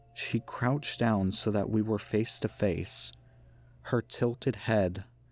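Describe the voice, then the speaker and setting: A very slow delivery with ordinary pitch variation and very even loudness, music playing in the background. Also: man. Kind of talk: creepypasta narration, first-person horror story reading.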